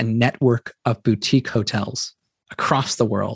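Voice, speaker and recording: Recorded dry and close with no echo, a man with a Californian accent talks at a fairly slow pace in a somewhat breathy voice of medium pitch with ordinary pitch variation. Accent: General American (Californian). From US West Coast, Silicon Valley. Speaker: entrepreneur, company founder. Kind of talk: interview conversation.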